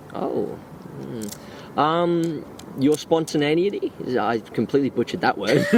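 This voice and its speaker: Over noticeable background noise, a man with an Australian accent speaks fairly slowly in a fairly high pitch with lively intonation. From Gold Coast, Australia. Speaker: friend of the host. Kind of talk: casual chat.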